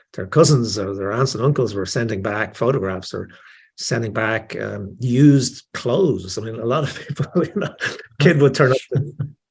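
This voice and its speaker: On a very clean recording with a silent background, a man speaks in a somewhat breathy, medium-pitched voice with lively intonation. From Ireland, Dublin. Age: 60s. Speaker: author. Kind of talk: interview. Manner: halting, many fillers and repetitions.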